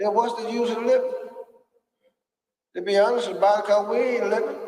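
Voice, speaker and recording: Audible room echo follows a man's voice as he talks. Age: 70s. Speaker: elder speaking at a men's gathering. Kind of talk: impassioned speech. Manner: animated.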